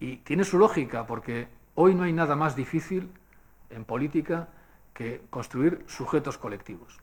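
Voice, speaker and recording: A man uses a normal speaking voice, pitched fairly high, at a fairly slow pace. His intonation is lively and his loudness swings a lot. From Basque Country, Spain. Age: 60s. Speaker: speaker at a public forum. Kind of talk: lecture. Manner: conversational, with frequent fillers.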